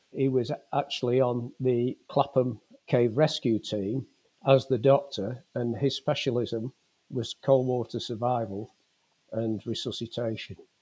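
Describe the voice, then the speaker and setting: A man with a Lancashire accent speaks at a medium pitch in a dark, mellow tone. His pace is fairly slow, his intonation fairly even, and the sound is dry and close with no echo. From northern England, Fleetwood, Lancashire. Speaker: retired police officer and lifeboat volunteer. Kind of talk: testimony.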